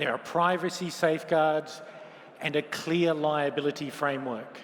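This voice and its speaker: This man has a fairly high pitch, speaks at a moderate pace, and has an Australian accent. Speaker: lawyer and open finance policy expert. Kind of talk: conference keynote talk.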